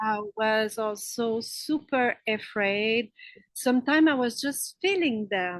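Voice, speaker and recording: In a French Canadian accent, a woman talks at a very slow pace with a fairly high pitch and ordinary pitch variation against a quiet background. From Quebec, French Canada. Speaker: spiritual healer. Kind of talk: interview. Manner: halting, many fillers.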